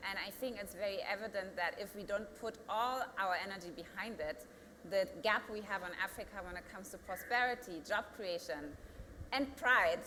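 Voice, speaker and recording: A woman talks in a German accent with ordinary pitch variation. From Germany. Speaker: company founder and CEO. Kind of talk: panel discussion. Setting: studio.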